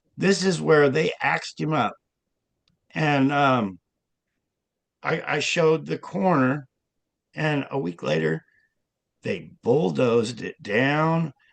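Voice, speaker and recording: Dry and close with no echo, a man's fairly high-pitched voice with an American accent moves at a very slow pace with long, frequent pauses. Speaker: self-described hidden public figure's son, author. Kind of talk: interview.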